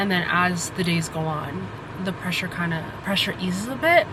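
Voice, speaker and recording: With audible room echo and noticeable background noise, a woman talks at a moderate pace with ordinary pitch variation. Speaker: vlogger and podcaster, law school applicant. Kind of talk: casual vlog.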